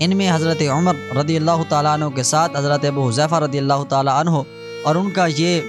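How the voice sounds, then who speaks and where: A man with a fairly high voice speaks with ordinary pitch variation over music in the background. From Pakistan. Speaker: voice-over artist. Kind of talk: religious story narration.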